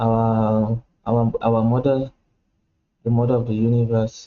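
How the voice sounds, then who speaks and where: A man is speaking. His pace is very slow. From Cameroon. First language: a Cameroonian language. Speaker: cultural educator. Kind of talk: informal lecture to camera. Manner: halting, many fillers and repeats.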